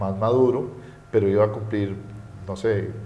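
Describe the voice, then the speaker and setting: A man's fairly low voice at a fairly quick pace, with fairly even intonation and audible room echo. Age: 40s. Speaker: economist. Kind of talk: interview. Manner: hesitant, many fillers.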